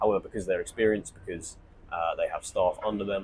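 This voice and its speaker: A man at a fairly quick pace, in a southern English accent. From southern England. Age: 20s. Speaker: online entrepreneur. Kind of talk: monologue to camera. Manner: informal, rambling.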